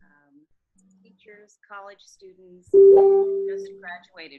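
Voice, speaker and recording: A woman with an American accent speaks at a fairly slow pace. Music plays in the background. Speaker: sales consultant. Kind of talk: group video meeting. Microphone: too quiet, hard to hear.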